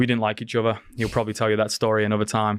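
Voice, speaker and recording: With a Liverpool accent, a man speaks at medium pitch. His intonation is monotone and flat, against a quiet background. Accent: Liverpool English (Scouse). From England. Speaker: former youth pastor. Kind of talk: casual chat.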